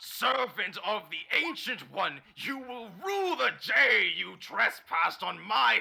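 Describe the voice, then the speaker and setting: Using a put-on character voice, a man talks in a high pitch at a fairly slow pace with hardly any pauses. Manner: menacing, grandiose.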